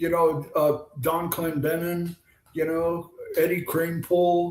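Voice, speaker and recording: A high-pitched man with an American accent at a very slow pace. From US West Coast (San Diego, California). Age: 70s. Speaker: retired baseball pitcher and author. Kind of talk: casual interview chat. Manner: animated storytelling.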